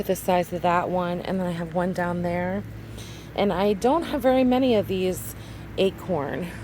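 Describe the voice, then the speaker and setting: Noticeable background noise sits behind the speaker. She is a woman whose pitch varies in an ordinary way. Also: fairly low pitch for a woman, moderate pace. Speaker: homesteading vlogger. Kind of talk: casual vlog tutorial. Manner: animated.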